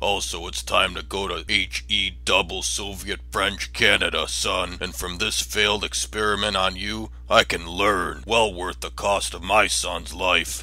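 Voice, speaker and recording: Using a put-on character voice, a man speaks at a moderate pace with hardly any pauses. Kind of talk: comedic parody dub.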